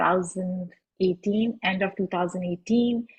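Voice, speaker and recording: A woman's somewhat breathy voice with a Pakistani accent. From Pakistan, Lahore. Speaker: podcast host and activist. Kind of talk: panel self-introduction.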